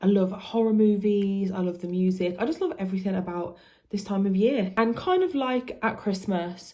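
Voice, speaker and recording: A woman with a British accent, medium-pitched and somewhat breathy, with a dark, mellow tone, ordinary pitch variation, and a moderate pace. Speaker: music youtuber. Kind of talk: casual vlog talk to camera.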